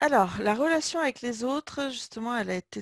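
A woman with ordinary pitch variation is heard in a very clean, dry, close recording with a silent background and no echo. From France, Limoges. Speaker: business coach. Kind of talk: interview.

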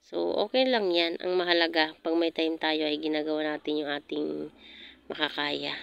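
In a dry recording with no echo, a woman with a very deep, low voice speaks at a moderate pace with ordinary pitch variation. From Philippines. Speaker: vlogger. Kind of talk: casual vlog narration. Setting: outdoors in garden. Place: garden.

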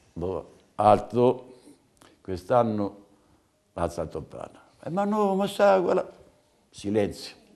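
At a very slow pace with long, frequent pauses, a man of medium pitch makes very wide pitch swings. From Umbria. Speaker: veteran festival ceri bearer. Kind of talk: casual interview, storytelling. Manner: animated. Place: home room. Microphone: lapel.

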